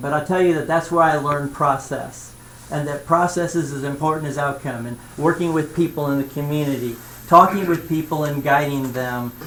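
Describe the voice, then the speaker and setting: A man with a Midwestern American accent speaks at a moderate pace, his pitch fairly high and his intonation fairly even. Audible room echo and noticeable background noise are present in the recording. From central Indiana. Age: 60s. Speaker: retired school superintendent and consultant. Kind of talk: self-introduction at a school board meeting. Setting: school board meeting. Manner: casual, with many fillers.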